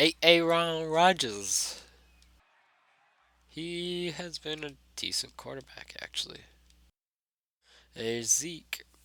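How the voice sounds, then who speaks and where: A man's very slow, fairly high voice, bright and sharp in tone, with long, frequent pauses and big swings in loudness. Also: ordinary pitch variation. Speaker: gaming YouTuber. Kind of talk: gameplay commentary. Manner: casual, conversational.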